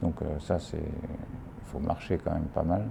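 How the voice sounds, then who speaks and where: A man with a very deep, low pitch, ordinary pitch variation and a moderate pace, over noticeable background noise. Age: 60s. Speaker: retired geologist, documentary subject. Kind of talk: documentary interview. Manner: halting, many hesitations.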